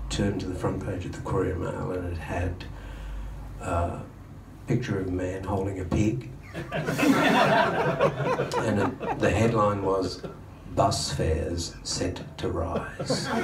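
Over loud background noise, a man speaks at a very slow pace with long, frequent pauses and ordinary pitch variation. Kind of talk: stage banter story. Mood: dry, humorous storytelling. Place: bar. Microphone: camera far.

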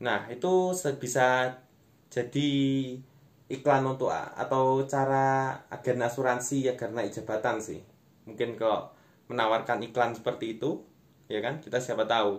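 A man at a moderate pace, fairly even in intonation, with long, frequent pauses. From East Java, Indonesia. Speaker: stand-up comedian and content creator. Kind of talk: stand-up comedy, online monologue to camera. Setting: online video, self-recorded without clip-on mic. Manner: conversational, addressing viewers as friends. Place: home room. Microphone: phone near.

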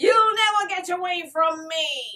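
A put-on character voice, cackling and shouting. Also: woman. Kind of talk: casual vlog chat. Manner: menacing, screaming.

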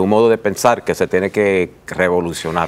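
Over noticeable background noise, a man talks in a fairly low pitch. His pitch variation is ordinary. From New York, Puerto Rican family. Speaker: author and lawyer. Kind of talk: TV interview. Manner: halting.

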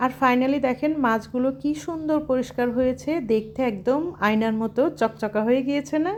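Her pitch is high for a woman. The pitch varies in an ordinary way. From Bangladesh, Jessore. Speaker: cooking and lifestyle vlogger, housewife. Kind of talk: casual vlog narration.

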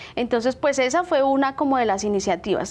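The woman's voice is pitched high. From Bogotá, Colombia. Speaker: small business owner; guest. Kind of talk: TV interview. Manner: halting, many fillers. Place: studio. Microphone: lapel.

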